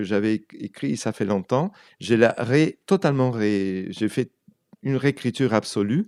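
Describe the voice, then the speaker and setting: A man with a Spanish accent is heard in a dry, close sound with no echo, on a very clean recording with a silent background. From Argentina. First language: Spanish (speaking French). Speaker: writer and translator. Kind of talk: radio interview. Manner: halting, many repetitions.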